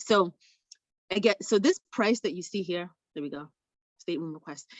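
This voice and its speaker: An ordinary speaking voice: a woman talking at a fairly quick pace with lively intonation. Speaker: travel sales trainer. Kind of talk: tutorial. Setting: video call.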